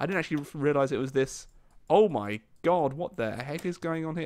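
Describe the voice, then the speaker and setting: This man talks at a fairly quick pace. His voice sits fairly high. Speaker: gaming YouTuber. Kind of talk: live gameplay commentary. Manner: casual, hesitant with frequent fillers.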